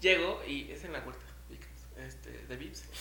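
A man speaks in an animated tone with a Mexican accent. Noticeable background noise and audible room echo are present. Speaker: podcast co-host. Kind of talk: casual chat.

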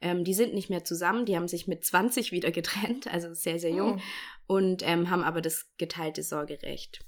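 An unremarkable speaking voice from a woman, fairly low in pitch, at a moderate pace with ordinary pitch variation, on a very clean recording with a silent background. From Bavaria, Germany. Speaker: podcast host. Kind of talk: casual chat; informative monologue.

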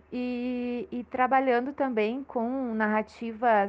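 A woman speaks in a high pitch. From Porto Alegre, Brazil. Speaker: social scientist and cultural producer. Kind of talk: panel discussion. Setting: remote call.

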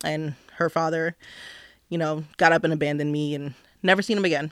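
A woman talks at a fairly quick pace in a very deep, low voice with an American accent and flat, monotone intonation. The recording is very clean, with a silent background. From New Jersey. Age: 30s. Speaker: podcast guest, grad student and mother. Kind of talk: casual chat. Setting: studio.

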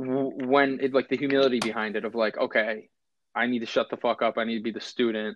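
In a quiet background with a dry, close sound and no echo, a man talks at medium pitch and a fairly quick pace in an unremarkable speaking voice. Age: 20s. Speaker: podcast host. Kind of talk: casual chat. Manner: fast, run-on speech with many fillers.

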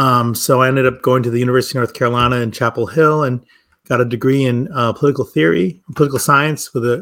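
At a very fast pace, a man speaks with an Upper Midwest accent. His pitch is medium, with ordinary variation. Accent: Upper Midwest American. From US Midwest, Milwaukee. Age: 50s. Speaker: wine shop and cafe owner, former academic. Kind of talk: casual interview.

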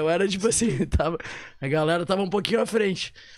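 This man's voice sits high, moving fairly quickly while its pitch rises and falls in a typical way. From southern Brazil, Porto Alegre. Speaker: digital marketing professional. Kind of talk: casual chat.

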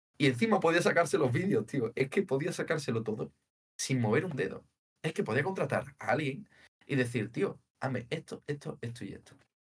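A man's fairly high, somewhat breathy voice at a fairly quick pace, with lively intonation. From Spain, Seville (Andalusia). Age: 20s. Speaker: data engineer. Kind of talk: casual interview.

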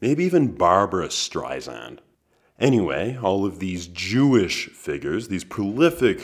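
A man talks at a fairly slow pace with vocal fry. His pitch makes very wide swings. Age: 20s. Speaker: podcast host. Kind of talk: solo monologue.

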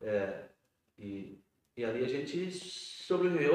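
A man talks with very wide pitch swings. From rural Rio Grande do Sul, Brazil. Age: 50s. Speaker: metalworker and union director. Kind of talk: interview about life story. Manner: halting, many repetitions.

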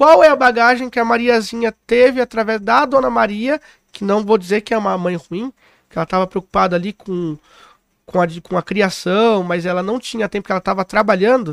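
At a fairly quick pace, a man with a high pitch and ordinary pitch variation speaks on a very clean recording with a silent background. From São Paulo city (Itaquera, east side). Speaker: recreation and events entrepreneur. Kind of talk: podcast interview.

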